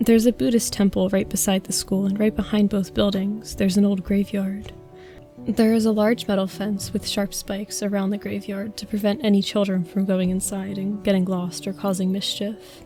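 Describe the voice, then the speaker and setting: Medium-pitched female voice at a fairly quick pace with fairly even intonation, music in the background. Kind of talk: horror story narration. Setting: home recording with fan noise.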